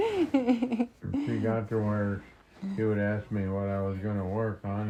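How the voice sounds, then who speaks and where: Over noticeable background noise, a man speaks at a fairly slow pace with a fairly low pitch and fairly even intonation. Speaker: retired farmer. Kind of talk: interview answer. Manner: casual, reminiscing.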